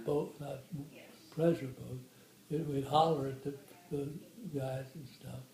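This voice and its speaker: An American man with an accent to match, fairly high in pitch and monotone, flat in intonation, at a fairly slow pace with long, frequent pauses, big swings in loudness and noticeable background noise. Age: 80s+. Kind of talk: interview answer. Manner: slow, hesitant.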